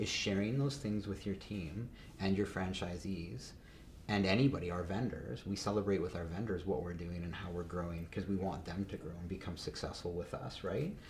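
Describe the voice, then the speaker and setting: A man speaks with a Canadian accent in a very deep, low pitch with ordinary variation. There is audible room echo. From Canada, Calgary. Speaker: business founder. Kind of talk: casual interview. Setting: studio.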